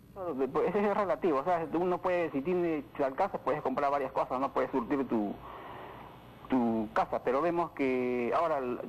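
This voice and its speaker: A man with a fairly high voice talks at a moderate pace, with ordinary pitch variation and very even loudness. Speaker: caller. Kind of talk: radio call-in opinion. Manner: halting, many fillers.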